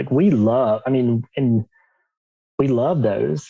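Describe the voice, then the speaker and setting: Speaking with an Alabama accent, a man at medium pitch moves at a fairly slow pace with ordinary pitch variation. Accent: Southern US (Alabama). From US South, Alabama. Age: 40s. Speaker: coach for men coming out. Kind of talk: podcast interview.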